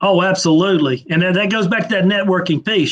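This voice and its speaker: A man with a Southern US accent talks at a very fast pace. His pitch variation is ordinary. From Mississippi, US South. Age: 50s. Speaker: trade association executive. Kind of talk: interview. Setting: live online video interview.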